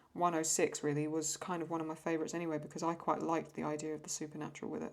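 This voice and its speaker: A woman with an English accent talks at a very fast pace. Her pitch is fairly low. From England. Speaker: YouTube reaction creator and artist. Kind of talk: casual Q&A while drawing. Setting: at home desk under a lamp. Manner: halting.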